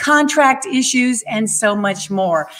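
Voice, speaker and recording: A woman talks at a fairly slow pace. Behind her, the background stays quiet. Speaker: show host. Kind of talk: show introduction. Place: home room. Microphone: studio mic.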